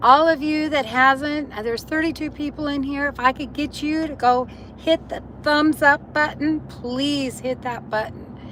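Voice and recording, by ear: Raspy yet fairly bright in tone, a woman speaks at a high pitch and a fairly slow pace with fairly even intonation.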